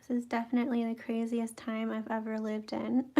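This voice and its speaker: Her dark, mellow tone sits at a fairly high pitch as the woman speaks at a moderate pace. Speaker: watercolor art teacher. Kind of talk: live painting tutorial. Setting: live stream. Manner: hesitant, many fillers.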